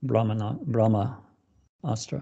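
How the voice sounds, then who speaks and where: A man's dark, mellow tone with vocal fry, over a quiet background. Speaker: Ayurveda practitioner; interview guest. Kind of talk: conversational interview. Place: home room. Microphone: video call.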